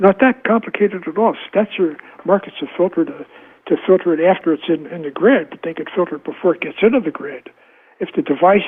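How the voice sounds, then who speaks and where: A man with a high pitch and ordinary pitch variation speaks at a fairly quick pace. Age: 80s+. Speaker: epidemiologist and author. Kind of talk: interview. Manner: halting, repeating words.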